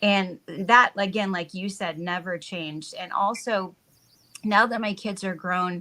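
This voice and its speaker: Her tone bright and sharp, a woman speaks at a fairly slow pace with fairly even intonation. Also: medium pitch for a woman. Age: 60s. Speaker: wellness business owner. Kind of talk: casual chat. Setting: live stream.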